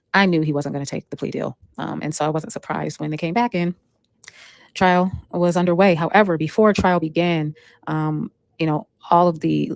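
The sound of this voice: Speaking at a fairly quick pace, a woman with a low pitch and vocal fry keeps a fairly even intonation and slightly mellow tone in a dry, close sound with no echo.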